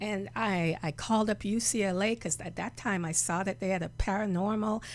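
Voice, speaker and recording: A woman is speaking. Her voice has vocal fry. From Jamaica. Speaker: reverend and healer. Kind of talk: interview. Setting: studio.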